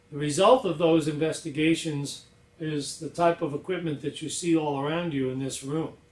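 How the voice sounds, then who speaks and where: A man's fairly high voice at a moderate pace, with fairly even intonation and audible room echo. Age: 60s. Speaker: inventor. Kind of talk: presentation. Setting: lab. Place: workshop. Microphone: camera far.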